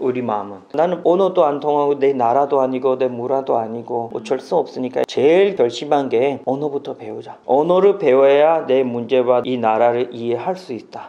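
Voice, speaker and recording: A man with a slight non-native accent talks at a moderate pace, with hardly any pauses. His pitch is medium with ordinary variation, and background noise is noticeable. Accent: slight foreign accent in Korean. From Pakistan. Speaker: naturalized immigrant interviewee. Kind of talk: interview.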